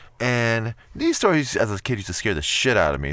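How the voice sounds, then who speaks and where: Animated and fairly quick, a man speaks at a medium pitch with very wide pitch swings and vocal fry. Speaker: YouTuber reading scary stories. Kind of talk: casual chat.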